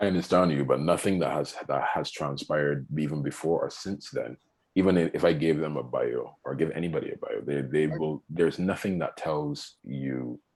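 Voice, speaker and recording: The voice has vocal fry and fairly even intonation. It runs on with hardly any pauses. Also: man, very deep, low pitch for a man, moderate pace. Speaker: young entrepreneur. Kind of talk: webinar discussion.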